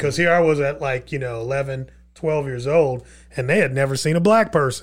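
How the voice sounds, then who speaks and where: Fairly high-pitched, somewhat breathy man at a fairly quick pace, with ordinary pitch variation and a very clean recording with a silent background. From Texas (Irving), born in Queens, New York. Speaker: e-commerce entrepreneur and speaker. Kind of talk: casual interview chat. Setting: studio.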